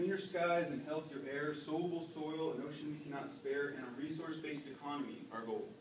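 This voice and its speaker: A fairly quick delivery set against noticeable background noise. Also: man. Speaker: slam poet. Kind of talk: slam poetry performance. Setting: live open mic on a campus.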